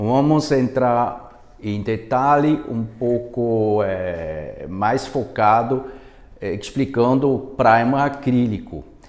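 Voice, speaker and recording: At a very slow pace, a man of medium pitch talks with lively intonation and a non-native accent. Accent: foreign accent in Portuguese. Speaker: product manager. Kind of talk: webinar presentation. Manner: halting, many fillers.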